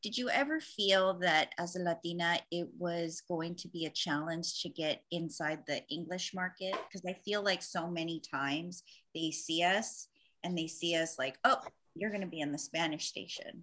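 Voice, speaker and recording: An ordinary speaking voice with fairly even intonation moves at a moderate pace in a very clean recording with a silent background. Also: woman, fairly low pitch for a woman. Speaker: podcast co-host. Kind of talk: casual interview chat.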